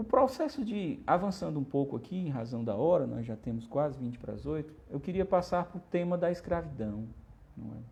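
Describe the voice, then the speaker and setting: Somewhat breathy, with a dark, mellow tone, a man speaks fairly quickly in a fairly high voice that swings very widely in pitch. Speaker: spiritist lecturer. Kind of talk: lecture. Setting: livestream.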